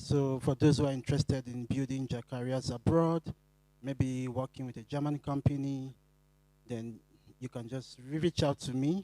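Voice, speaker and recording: A man with a Nigerian accent speaks at a moderate pace and a medium pitch, his intonation fairly even. His tone is dark and mellow, and the sound is dry and close with no echo. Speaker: recruiter. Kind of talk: self-introduction.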